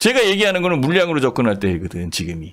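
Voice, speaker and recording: Talking at a very fast pace, a man sounds animated, his pitch swinging very widely. The background is quiet. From South Korea. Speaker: stock market commentator. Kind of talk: live market commentary broadcast. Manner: animated, conversational.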